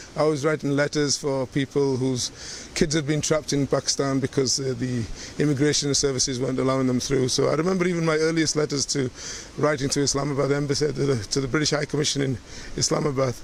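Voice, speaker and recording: A man's fairly high-pitched voice at a very fast pace, with very even loudness and fairly even intonation, over noticeable background noise. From northern England, Leeds (Kirkstall). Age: 60s. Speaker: community elder sharing oral history. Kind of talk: personal reminiscence interview.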